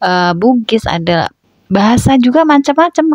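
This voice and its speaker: Speaking with a strong Javanese accent, a woman makes very wide pitch swings at a moderate pace. The sound is dry and close, without echo. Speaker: housewife vlogger. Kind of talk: voice-over narration. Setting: at home. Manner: casual chatty.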